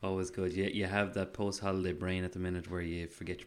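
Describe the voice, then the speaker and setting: A man's very deep, low voice in an Irish accent, very fast and monotone, with flat intonation. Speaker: podcast co-host. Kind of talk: casual chat.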